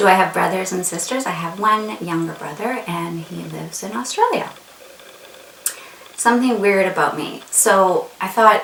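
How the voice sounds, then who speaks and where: Delivered with a Canadian accent at a moderate pace and ordinary pitch variation, the speech carries audible room echo and noticeable background noise. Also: woman, medium pitch for a woman, big swings in loudness. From Canada, Winnipeg. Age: 40s. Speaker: beauty vlogger. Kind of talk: casual chat.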